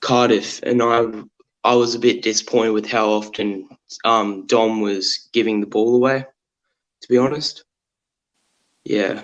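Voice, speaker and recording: A man with an Australian accent speaks at a medium pitch in a monotone, flat intonation. His pace is fairly slow, with long, frequent pauses. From Tasmania, Australia. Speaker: football fan caller. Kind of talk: casual chat.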